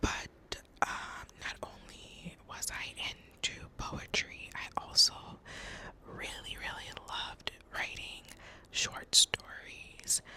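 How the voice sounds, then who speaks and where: A woman whispering at a very slow pace in a calm tone, with big swings in loudness and noticeable background noise. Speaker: ASMR creator. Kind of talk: ASMR soft-spoken whispered talk to camera. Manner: soft-spoken, whispered, calm.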